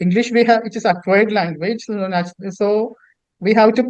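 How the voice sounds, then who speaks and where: Speaking at a moderate pace with a Keralan accent, a man holds a high pitch with fairly even intonation. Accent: Indian English, Malayali. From India, Kerala. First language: Malayalam. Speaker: author and poet. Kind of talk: interview. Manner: halting, many repetitions.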